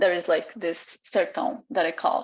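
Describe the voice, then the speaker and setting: A woman speaks at a fairly slow pace with a Portuguese accent. Her medium-pitched voice sits over a quiet background. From Brazil. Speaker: artist and PhD researcher. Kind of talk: online seminar presentation. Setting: video call. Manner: halting, many fillers.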